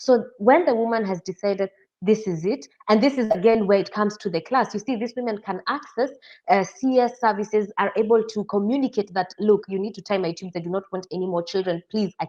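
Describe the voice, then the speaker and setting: The woman speaks with a Kenyan accent at a fairly quick pace, with ordinary pitch variation. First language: Kikuyu. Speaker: interview guest. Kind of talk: interview.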